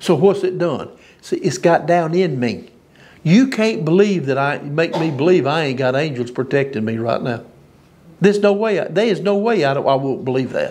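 A man speaks with a Southern US accent and lively intonation. His pace is moderate. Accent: US South. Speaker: preacher. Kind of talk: sermon. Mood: earnest, animated conviction. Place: hall.

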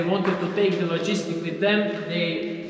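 A man's voice carries audible room echo, and noticeable background noise is there too. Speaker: tour guide. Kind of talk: guided tour explanation. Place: tunnel cave. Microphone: camera far.

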